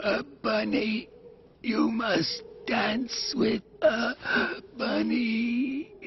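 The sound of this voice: In a cartoonish character voice, the speaker uses a fairly high, raspy pitch and a very slow pace.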